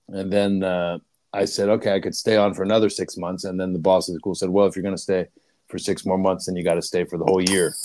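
A man's very deep, low, dark and mellow voice at a very fast pace, monotone and flat, with a dry sound with no echo and a quiet background. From Pittsburgh, US. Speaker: leadership coach. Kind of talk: interview. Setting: video call. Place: home room. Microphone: earbuds.

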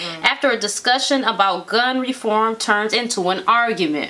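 Lively intonation at a moderate pace from a woman with a high-pitched voice. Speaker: show co-host. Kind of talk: reading news story with commentary. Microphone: camera far.

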